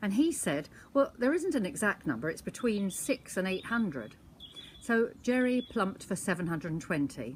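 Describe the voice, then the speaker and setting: Vocal fry runs through a woman's medium-pitched voice. Her pitch swings very widely at a moderate pace. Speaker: storyteller grandmother. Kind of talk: anecdote monologue.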